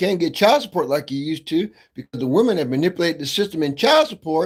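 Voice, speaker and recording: On a very clean recording with a silent background, a man with a high pitch speaks in an animated tone. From Ohio, US Midwest. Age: 50s. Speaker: livestreamer. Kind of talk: casual monologue.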